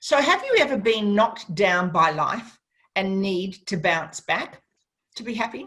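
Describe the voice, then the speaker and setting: A woman speaks with an Australian accent. Her pace is fairly slow, with ordinary pitch variation. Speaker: radio host. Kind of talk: radio interview. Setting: radio studio.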